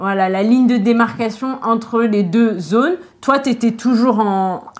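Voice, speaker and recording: A woman's normal speaking voice at a fairly high pitch, with ordinary pitch variation, very even loudness and a fairly slow pace. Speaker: French teacher. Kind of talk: interview questions.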